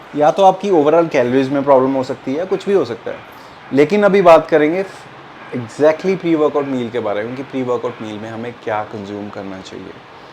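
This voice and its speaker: A man with a Punjabi accent, a fairly high pitch, lively intonation, big swings in loudness and a moderate pace, over noticeable background noise. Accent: Punjabi-tinged Hindi. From Punjab, India (Jalandhar). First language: Punjabi (speaking Hindi). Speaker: fitness youtuber. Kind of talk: tutorial. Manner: casual, Hindi-English code-mixing with fillers.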